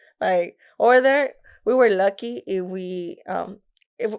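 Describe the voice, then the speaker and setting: A woman speaks. She has a Mexican accent. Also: very clean recording, silent background. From Mexico, Nuevo Laredo. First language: Spanish. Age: young. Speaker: rapper. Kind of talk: casual interview.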